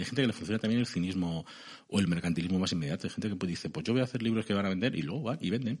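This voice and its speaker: A man with a central Spanish accent talks in a very deep, low pitch with ordinary pitch variation. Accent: central Peninsular Spanish. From Spain, Segovia (Castile). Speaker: novelist and columnist. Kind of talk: interview.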